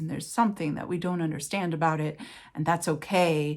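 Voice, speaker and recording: A woman's fairly low voice with an American accent, in a very clean recording with a silent background. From Los Angeles, California. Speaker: writer and writing teacher. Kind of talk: interview answer. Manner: conversational, reflective, with fillers.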